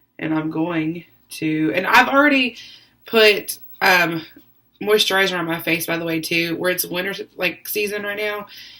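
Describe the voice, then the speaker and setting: Bright, sharp tone from a woman at a moderate pace with ordinary pitch variation. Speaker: beauty vlogger. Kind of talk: makeup tutorial. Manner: casual, hesitant with many ums.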